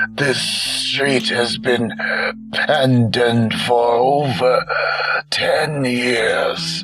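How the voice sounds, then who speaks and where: A man's hoarse, put-on character voice over clear music in the background. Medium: read story.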